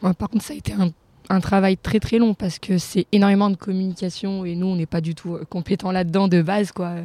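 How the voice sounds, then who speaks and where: A woman's dark, mellow voice, flat and monotone, at a fairly quick pace in a dry, close recording with no echo. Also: medium pitch for a woman. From France. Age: 20s. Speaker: social worker, humanitarian volunteer. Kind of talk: casual interview. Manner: halting.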